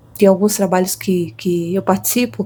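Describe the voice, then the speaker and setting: Medium in pitch, the woman's voice is somewhat breathy. Its tone is dark and mellow. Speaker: tarot reader. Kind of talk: intuitive tarot reading.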